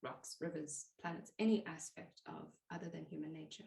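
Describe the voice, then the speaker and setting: A woman's fairly low voice with vocal fry, at a moderate pace. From South Africa. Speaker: plant pathologist and nature communication teacher. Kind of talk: podcast interview answer.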